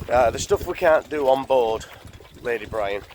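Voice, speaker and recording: Fairly slow speech with ordinary pitch variation and noticeable background noise. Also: man. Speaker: narrowboat vlogger. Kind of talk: casual vlog chat. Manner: casual, filler-heavy.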